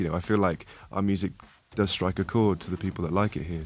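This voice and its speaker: A man with a very deep, low voice talks at a fairly quick pace and fairly even intonation over background music. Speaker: rock band musician. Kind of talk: interview answer. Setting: radio studio.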